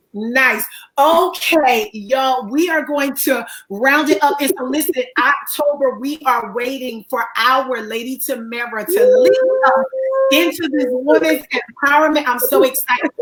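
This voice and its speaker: A woman speaks with a high pitch and ordinary pitch variation. Her pace is fairly slow. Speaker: counselor and talk show host. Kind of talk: live online interview. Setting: livestream.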